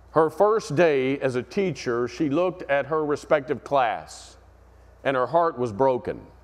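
The pace is moderate. The man's pitch variation is ordinary. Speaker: pastor. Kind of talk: sermon. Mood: earnest storytelling. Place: church.

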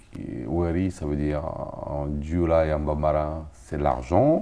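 Very deep and low in pitch, a man speaks in a dark, mellow tone with fairly even intonation. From Africa. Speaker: musician and bandleader; guest. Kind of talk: interview. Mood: warm, smiling. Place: studio. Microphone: lapel.

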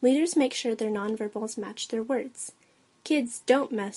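Ordinary pitch variation in plain reading aloud

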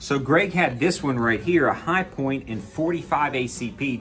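A man's voice with faint music in the background. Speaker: gun channel vlogger. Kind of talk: casual vlog chat. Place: shop. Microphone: phone near.

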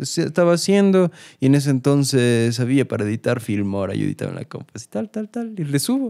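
Fairly high in pitch yet dark and mellow in tone, a man speaks fairly quickly with very wide pitch swings, recorded dry and close with no echo on a very clean recording with a silent background. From Cuenca, Ecuador. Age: young. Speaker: singer-songwriter. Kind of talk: casual interview. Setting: studio. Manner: casual slangy, fillers.

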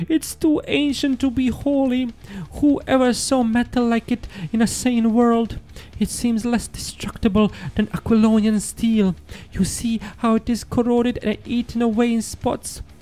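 Putting on a character voice, a man speaks in an extremely high, shaky voice at a moderate pace over light background noise. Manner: fearful, shaky, superstitious.

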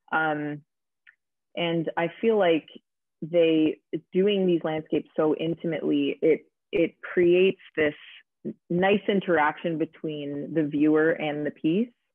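Dry and echo-free over a quiet background, a woman with a Canadian accent talks at a fairly low pitch and a fairly slow pace, with fairly even intonation and long, frequent pauses. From Ontario, Canada (Aurora, north of Toronto); Ontario. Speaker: visual artist and special effects makeup artist; guest. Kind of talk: casual interview. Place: home room.

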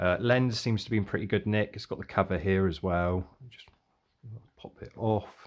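Against a quiet background, a man with a fairly low pitch talks at a moderate pace with ordinary pitch variation. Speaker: car boot sale reseller. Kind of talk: casual vlog chat. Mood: relaxed, cheerful. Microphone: phone near.

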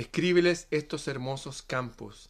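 Dramatic in tone, a man speaks very slowly, with ordinary pitch variation. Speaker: poet reading aloud. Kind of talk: poetic reading aloud, solemn and dreamlike, in a devotional tone; casual greeting and commentary to viewers. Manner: slow, measured and dramatic, with a rhythmic, hushed, reverent delivery. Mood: calm, solemn. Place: home room. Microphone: phone near.

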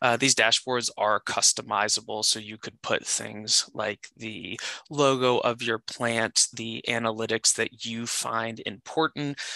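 A man speaks with a bright, sharp tone in a monotone, flat delivery with hardly any pauses, the sound dry and close with no echo against a quiet background. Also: medium pitch for a man. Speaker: software product specialist. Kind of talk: live product demo.

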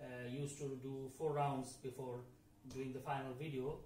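Over light background noise and audible room echo, a man speaks at a fairly slow pace in a monotone, flat intonation. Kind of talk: casual vlog chat. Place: home room. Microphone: camera far.

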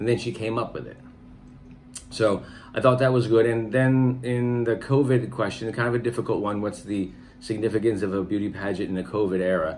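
Faint music plays behind a man speaking with an American accent. His intonation stays fairly even. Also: fairly quick pace. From United States. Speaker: channel host's husband giving pageant reactions; reviewer, husband of the channel host. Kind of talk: casual commentary review; casual reaction commentary. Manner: halting, many fillers. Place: home room. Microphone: phone near.

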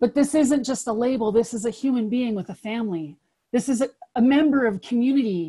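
A dark, mellow tone at a fairly quick pace, with ordinary pitch variation and a quiet background. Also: woman, high pitch for a woman. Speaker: pretrial services worker; webinar presenter. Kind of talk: reflective talk. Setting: video call. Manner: impassioned. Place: home room. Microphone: webcam.

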